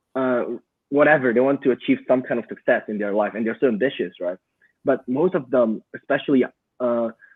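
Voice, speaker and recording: This is a man speaking at a moderate pace. His pitch sits in the middle range. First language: not English. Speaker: digital marketing entrepreneur. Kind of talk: podcast interview. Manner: halting.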